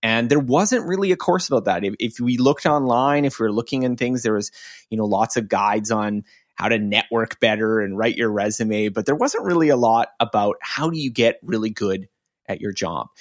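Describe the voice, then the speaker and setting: In a very clean recording with a silent background, a normal speaking voice moves at a fairly quick pace with ordinary pitch variation. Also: man, medium pitch for a man, dry, close sound with no echo. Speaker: online course creator and learning writer. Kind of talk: casual interview conversation.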